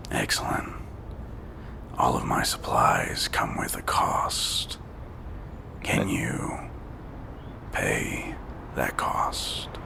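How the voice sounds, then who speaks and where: Whispering in a raspy, put-on character voice, a man goes very slowly with long, frequent pauses over loud background noise. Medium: actual play. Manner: smooth, sly, cryptic.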